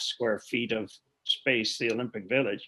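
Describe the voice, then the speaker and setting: A man with a western Canadian accent talks at a moderate pace. His pitch is medium and his intonation fairly even. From Alberta, Canada. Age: 60s. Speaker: clean energy company executive. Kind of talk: podcast interview.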